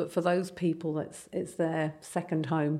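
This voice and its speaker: A woman with an English accent speaks at a fairly slow pace. Her tone is dark and mellow, and her intonation is flat and monotone. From England. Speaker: palliative care nurse. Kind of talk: interview.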